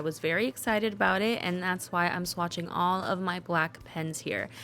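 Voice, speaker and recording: In a very clean recording with a silent background, a woman speaks in a fairly low pitch with fairly even intonation. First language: Spanish. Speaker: stationery vlogger and Spanish interpreter. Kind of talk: scripted voiceover narration. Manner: casual, chatty.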